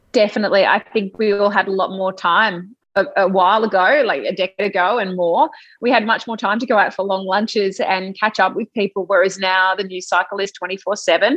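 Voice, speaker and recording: A woman speaks with an Australian accent. Her medium-pitched voice keeps a fairly even intonation. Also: fairly quick pace. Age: 30s. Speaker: TV news presenter. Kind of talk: interview.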